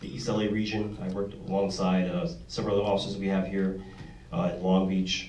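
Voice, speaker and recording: A man with an American accent, fairly low and very fast, with fairly even intonation, audible room echo and noticeable background noise. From New York. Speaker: police detective. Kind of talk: panel introduction.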